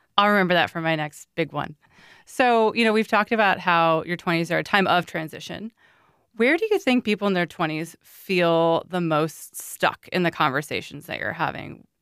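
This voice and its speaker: On a very clean, dry, close recording with a silent background and no echo, a woman with an ordinary speaking voice talks at a moderate pace in a fairly low pitch with ordinary pitch variation. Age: 30s. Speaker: podcast host. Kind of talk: casual interview.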